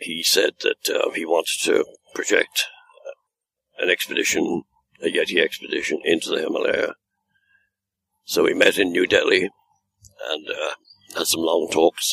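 Long, frequent pauses punctuate a man's moderate-paced speech. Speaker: Yeti expedition hunter. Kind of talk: interview storytelling.

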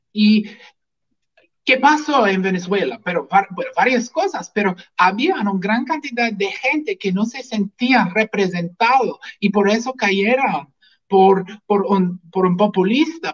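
Recorded with a dry, close sound and no echo, a man speaks fairly slowly at a high pitch with ordinary pitch variation. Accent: English. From US, Washington state. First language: English (speaking Spanish). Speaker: physician and libertarian activist. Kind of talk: political talk show interview. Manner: halting, repeats words.

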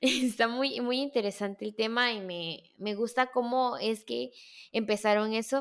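A woman uses a high pitch and lively intonation, recorded very cleanly against a silent background. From Mexico, Veracruz. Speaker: podcast host, marketing student. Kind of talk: casual interview chat.

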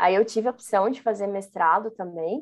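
This is an ordinary speaking voice. It moves at a fairly quick pace with ordinary pitch variation. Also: woman. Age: 30s. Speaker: Scrum Master, former education manager. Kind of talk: interview.

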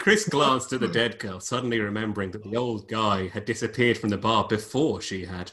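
Someone reads aloud in a natural voice, and the pitch shifts in an ordinary way.

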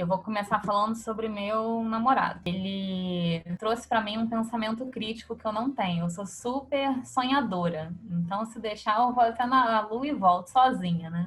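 An unremarkable speaking voice from a woman, fairly high in pitch, at a moderate pace with ordinary pitch variation and hardly any pauses. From Rio de Janeiro (Copacabana). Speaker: fashion creative. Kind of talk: casual interview.

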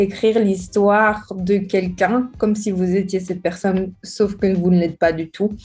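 The voice has a dark, mellow tone and is somewhat breathy. Its intonation stays fairly even. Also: woman, very clean recording, silent background. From Belgium, Charleroi. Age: 20s. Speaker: writer. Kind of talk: interview.

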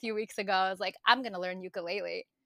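In a New York accent, a woman with a bright, sharp tone and ordinary pitch variation is heard in a dry, close sound with no echo, on a very clean recording against a silent background. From Brooklyn, New York (Bensonhurst). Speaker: digital marketer. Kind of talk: casual chat.

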